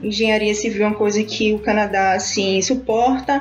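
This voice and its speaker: A woman with a medium-pitched voice talks over noticeable background noise. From Brazil, Recife (Pernambuco). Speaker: immigrant sharing experience. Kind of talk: casual interview chat. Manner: animated.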